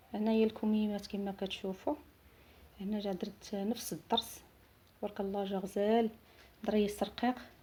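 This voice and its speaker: Her dark, mellow tone is somewhat breathy, and the woman keeps her intonation fairly even while leaving long, frequent pauses. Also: medium pitch for a woman, moderate pace. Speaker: seamstress. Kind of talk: product showcase. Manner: halting.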